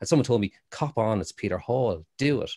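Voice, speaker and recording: A man speaks with an Irish accent in a dry, close sound with no echo. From Ireland, Waterford. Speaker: actor. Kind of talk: casual chat. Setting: video call.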